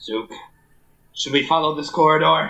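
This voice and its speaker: Putting on a raspy character voice, a man talks at a fairly high pitch and a moderate pace. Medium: actual play.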